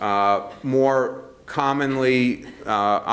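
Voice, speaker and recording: Noticeable background noise and audible room echo surround a man's voice. He has a medium pitch with ordinary pitch variation. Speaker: physician researcher giving a talk. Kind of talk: lecture. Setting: conference room with audience. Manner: many filler words (uh, um).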